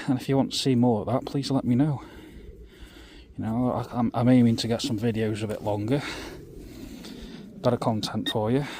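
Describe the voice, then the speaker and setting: Whispering quietly at a fairly quick pace, a man speaks with an East Midlands accent. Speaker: metal detecting youtuber. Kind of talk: casual outdoor vlog commentary. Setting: outdoors in a field. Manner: quiet, half-whispered.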